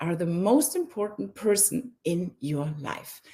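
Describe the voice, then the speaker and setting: A woman's dark, mellow, somewhat breathy voice at a fairly slow pace, with very wide pitch swings. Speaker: face yoga teacher. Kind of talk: online summit talk.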